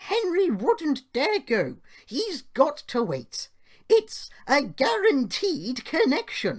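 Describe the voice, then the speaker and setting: A man puts on a character voice pitched extremely high, speaking very slowly with very wide swings in pitch. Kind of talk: children's bedtime story acting. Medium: read story.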